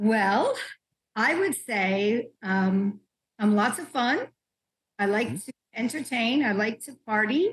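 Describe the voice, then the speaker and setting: The speaker goes at a very slow pace with long, frequent pauses and a somewhat breathy sound. Loudness swings widely throughout. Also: woman, fairly high pitch for a woman, ordinary pitch variation. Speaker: pattern maker and fashion professor. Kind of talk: interview answer.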